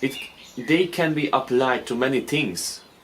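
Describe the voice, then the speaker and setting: Speaking at a fairly slow pace, a man with a medium-pitched voice is heard over noticeable background noise. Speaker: forex trader and video creator. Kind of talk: casual talking-head explainer. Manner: slow, deliberate; halting, many fillers and repeats.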